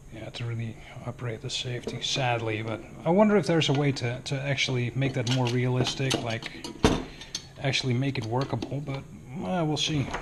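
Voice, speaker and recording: Noticeable background noise accompanies fairly quick speech with ordinary pitch variation. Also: man, medium pitch for a man. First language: not English. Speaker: airsoft hobbyist video maker. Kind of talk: tutorial. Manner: casual, hesitant.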